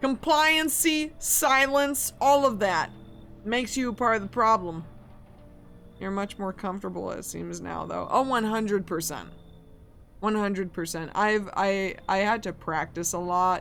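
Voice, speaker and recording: A woman's medium-pitched, animated voice in an American accent, with lively intonation at a fairly slow pace and music in the background. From US Midwest. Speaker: game streamer. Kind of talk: live game stream chat.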